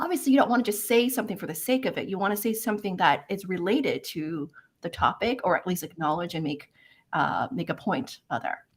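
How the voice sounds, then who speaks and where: A woman speaks at a medium pitch with very wide swings in her voice, her tone animated and her pace fairly quick. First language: not English. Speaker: career coach, live event host. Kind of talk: live webinar discussion.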